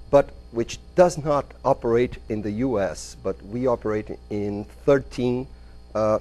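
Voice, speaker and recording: With a Brazilian Portuguese accent, a man speaks at medium pitch and a fairly slow pace, his tone dark and mellow and his pitch variation ordinary. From Brazil, São Paulo. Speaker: business consultant and entrepreneur. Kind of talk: lecture. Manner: halting.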